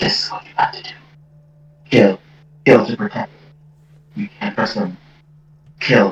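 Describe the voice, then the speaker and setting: This put-on character voice moves at a moderate pace, with big swings in loudness and long, frequent pauses. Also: man. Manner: eerie, whispering, insistent.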